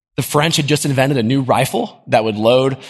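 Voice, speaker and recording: Against a quiet background, a man with a normal speaking voice and an American accent talks at a fairly quick pace, with a medium pitch and lively intonation. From US South. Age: 20s. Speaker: guest preacher. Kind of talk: sermon. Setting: church with congregation.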